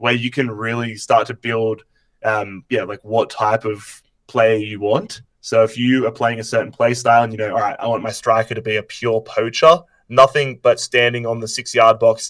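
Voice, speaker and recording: On a very clean recording with a silent background, a man with an Australian accent talks at a moderate pace and medium pitch with fairly even intonation. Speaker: YouTuber. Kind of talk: casual chat. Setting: live stream.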